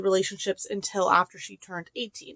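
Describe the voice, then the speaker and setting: A woman's voice, dry and close with no echo. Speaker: book vlogger. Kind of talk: casual chat. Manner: animated; fast.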